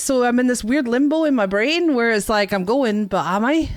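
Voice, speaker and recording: Over music in the background, a woman with a British accent speaks at a fairly quick pace with very wide pitch swings. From UK. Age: 40s. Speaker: streamer. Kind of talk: casual chat. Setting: live stream.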